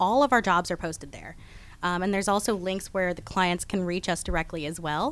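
A woman in an ordinary speaking voice talks at a fairly quick pace, her medium pitch rising and falling by an ordinary amount. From Texas and Georgia. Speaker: staffing branch manager. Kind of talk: radio interview. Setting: radio studio.

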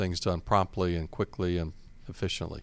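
A man speaks with a Southern US accent. The recording is very clean, with a silent background. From Georgia, US South. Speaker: bank executive. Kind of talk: business interview.

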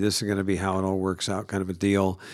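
A man talks at a fairly low pitch and a moderate pace. He has an ordinary speaking voice. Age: 60s. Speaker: pastor. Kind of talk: casual chat. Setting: studio.

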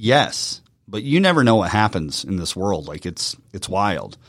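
Here is a man with a plain, everyday voice and a fairly low pitch. He keeps a moderate pace in a very clean recording with a silent background. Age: 40s. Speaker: marketing CEO and former radio personality. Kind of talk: casual interview. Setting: studio.

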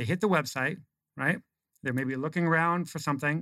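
A man with an American accent has a plain, everyday voice, fairly high in pitch, with ordinary pitch variation and a fairly quick pace. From Oregon. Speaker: marketing consultant. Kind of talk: casual chat. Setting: studio.

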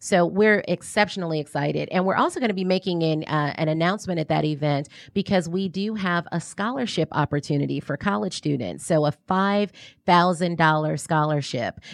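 A woman's ordinary speaking voice, fairly low in pitch, with an American accent, a fairly quick pace and ordinary pitch variation. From US South, New Orleans. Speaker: nonprofit president and business development director. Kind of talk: radio interview. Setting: radio studio.

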